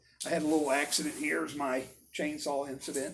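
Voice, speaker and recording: A man is talking here. His pace is fairly quick. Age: 60s. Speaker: vlogger and car builder. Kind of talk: casual vlog monologue. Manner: rambling, halting.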